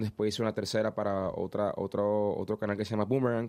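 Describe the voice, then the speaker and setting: A dark, mellow tone at a very fast pace. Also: man. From Venezuela. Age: 20s. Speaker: singer. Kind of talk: interview.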